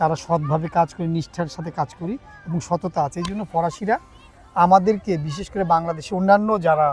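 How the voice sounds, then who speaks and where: Noticeable background noise sits behind a man with a high pitch. His loudness swings widely while his pitch varies in an ordinary way. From Bangladesh, Chittagong. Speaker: stage actor. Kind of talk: interview.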